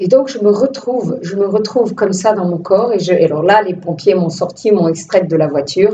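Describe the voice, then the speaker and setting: Speaking at a moderate pace, a woman uses a medium-pitched voice. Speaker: filmmaker. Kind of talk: testimony. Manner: animated, casual; hesitant repetitions.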